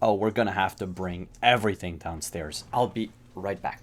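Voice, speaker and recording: A man's put-on character voice at a fairly low pitch. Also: moderate pace. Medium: actual play. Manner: blunt, dry.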